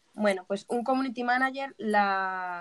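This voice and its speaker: In a plain, everyday voice, a woman talks at medium pitch and a moderate pace, the sound dry and close with no echo. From Spain, Alicante. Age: 20s. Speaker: community manager. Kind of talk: interview. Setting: remote call from Spain.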